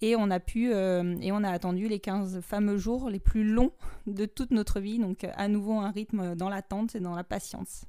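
Over a silent background in a very clean recording, a woman speaks fairly slowly with medium pitch, fairly even intonation and a dark, mellow tone. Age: 30s. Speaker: podcast host. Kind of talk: personal testimony.

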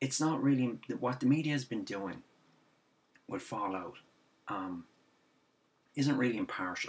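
A man talks fairly slowly in an Irish accent, his intonation lively. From Ireland. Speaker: gaming video commentator. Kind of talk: angry rant about games media coverage. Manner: exasperated, repetitive ranting with sarcastic asides; halting, filler-heavy, restarts sentences. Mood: frustrated, ranting. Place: home room. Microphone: webcam.

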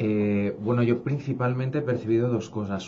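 Over noticeable background noise, a man speaks in a dark, mellow tone. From Spain. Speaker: education company director; guest. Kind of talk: radio interview. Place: studio.

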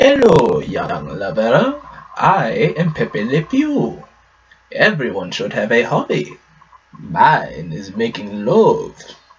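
The speaker is a man using a put-on character voice. He talks very slowly. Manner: suave, romantic.

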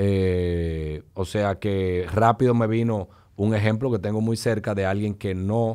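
This man has a dark, mellow tone and a fairly low pitch, with fairly even intonation. The background is quiet. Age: 40s. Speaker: business executive; podcast guest. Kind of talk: casual chat. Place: studio. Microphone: studio mic.

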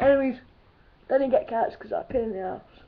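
A woman talks at a moderate pace. Noticeable background noise runs beneath her voice. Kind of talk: casual talk to camera. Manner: casual, swearing, jokey.

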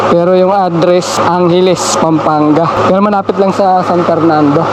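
The speech is monotone and flat at a moderate pace, with noticeable background noise and audible room echo. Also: man. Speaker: delivery truck driver and vlogger. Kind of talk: casual vlog.

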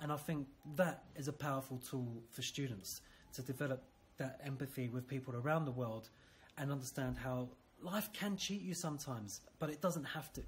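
Speaking at a moderate pace with a British accent, the voice is somewhat breathy, with ordinary pitch variation and light background noise. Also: man. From UK. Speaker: school teacher. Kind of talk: interview. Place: classroom. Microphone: phone near.

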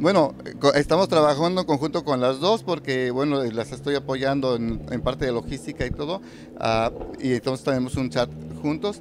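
A man speaks at a moderate pace with very wide pitch swings. There is noticeable background noise, and the sound is dry with no echo. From Mexico, Michoacán. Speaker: poet and reciter. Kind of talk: casual interview. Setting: live community event. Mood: warm, smiling. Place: hall. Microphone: handheld.

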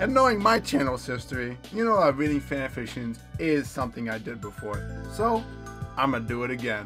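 Music plays behind a man who talks fairly quickly. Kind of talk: casual talk to camera.

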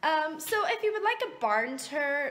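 There is light background noise. Through it, a woman speaks. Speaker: horse owner vlogger. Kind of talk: casual vlog chat. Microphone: phone near.

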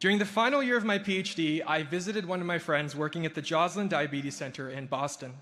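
The pace is fairly quick, with lively intonation. The tone is bright and sharp. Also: man. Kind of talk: ceremony speech. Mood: reflective, warm, lightly humorous. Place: hall. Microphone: podium.

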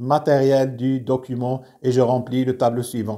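A dark, mellow tone from a man at medium pitch. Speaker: teacher. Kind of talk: tutorial.

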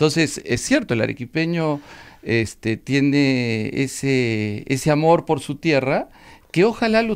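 Captured on a very clean recording with a silent background, a man speaks with a plain, everyday voice, a fairly high pitch, and lively intonation. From Peru, Arequipa. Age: 50s. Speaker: politician and law professor. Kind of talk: radio interview.

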